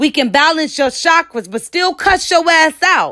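A woman speaks at a fairly slow pace in an animated, confident tone that is bright and sharp, with lively intonation, on a very clean recording with a silent background. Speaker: spoken word poet. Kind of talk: performed spoken word poem, rhythmic and rhyming, defiant and proud. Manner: animated, punchy, confident, sassy; rhythmic, emphatic delivery with rhymes.

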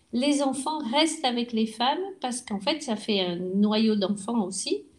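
Lively intonation at a fairly slow pace. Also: woman. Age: 60s. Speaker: retired restaurant worker. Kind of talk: interview. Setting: at her home.

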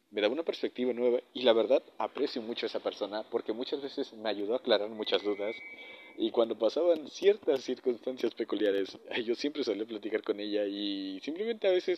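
This man has a plain, everyday voice, pitched at a medium level with ordinary pitch variation, and he talks at a fairly quick pace. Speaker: podcaster. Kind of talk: casual monologue. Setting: alone at night.

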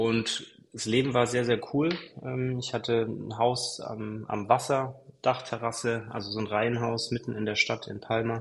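Speaking fairly slowly, a man with a medium-pitched voice keeps his intonation flat and monotone. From Allgäu, Bavarian Swabia (Kempten). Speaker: real estate flipper and influencer. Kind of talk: casual interview.

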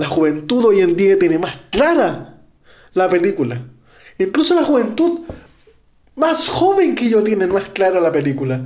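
In a Chilean accent, a man speaks at a fairly slow pace with long, frequent pauses and a high pitch. His voice makes very wide pitch swings, and audible room echo surrounds it. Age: 20s. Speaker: podcaster. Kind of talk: political monologue. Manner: impassioned.

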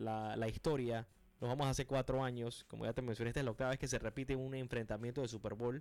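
A man at medium pitch, very fast pace, with monotone, flat intonation and very even loudness. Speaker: sports radio host. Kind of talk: sports radio talk show. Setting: radio studio.

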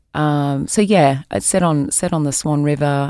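Very deep, low pitch from a woman with an Australian accent, dark and mellow in tone, at a fairly slow pace, in a very clean recording with a silent background. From New South Wales, Australia. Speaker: tourism executive. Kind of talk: interview. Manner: many hesitations (um).

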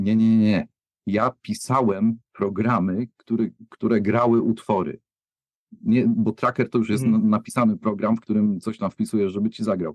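Dry and close with no echo, a man's medium-pitched voice moves at a moderate pace with fairly even intonation. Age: 50s. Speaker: music producer. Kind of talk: casual chat. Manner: halting.

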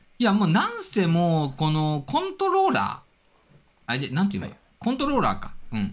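A man speaks at a fairly quick pace. His loudness swings a lot. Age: 40s. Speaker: drone hobbyist. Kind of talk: casual chat.

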